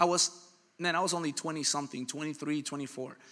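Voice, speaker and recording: A man talks in an animated, bright and sharp tone. His pitch is fairly high. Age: 30s. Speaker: pastor. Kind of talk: sermon.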